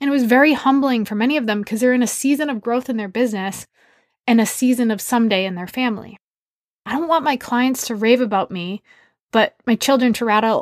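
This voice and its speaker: Fairly quick and fairly high-pitched, this woman speaks with an American accent, an unremarkable speaking voice, and ordinary pitch variation. The sound is dry and close, with no echo. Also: very clean recording, silent background. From US Northeast, Massachusetts. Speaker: podcast host and leadership coach. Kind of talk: personal monologue.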